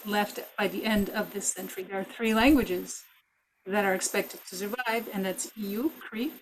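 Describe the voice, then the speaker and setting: A woman speaks at a fairly high pitch. Her pace is moderate. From Mohawk community, Canada. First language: Kanien'kehá:ka (Mohawk). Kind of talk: webinar panel talk.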